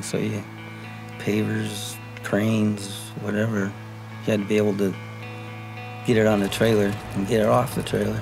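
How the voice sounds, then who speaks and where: Over clear background music, a man with a fairly low voice speaks at a fairly quick pace in a monotone, flat intonation. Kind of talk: interview answer. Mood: relaxed, fond recollection. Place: home room.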